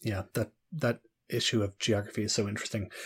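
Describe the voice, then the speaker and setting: A somewhat breathy man speaks on a very clean recording with a silent background. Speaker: podcast host. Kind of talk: interview.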